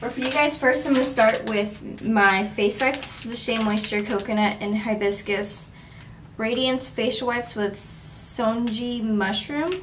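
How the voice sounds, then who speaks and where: A woman talks at a moderate pace with fairly even intonation, light noise audible in the background. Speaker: beauty vlogger. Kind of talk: casual vlog chat. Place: bathroom. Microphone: camera far.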